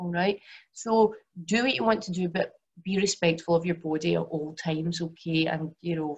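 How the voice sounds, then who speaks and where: A woman with a Glaswegian accent, fairly low in pitch, somewhat breathy, with ordinary pitch variation. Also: moderate pace. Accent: Glaswegian Scottish. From Scotland, Glasgow. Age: 40s. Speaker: yoga teacher and women's health coach. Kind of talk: webinar presentation.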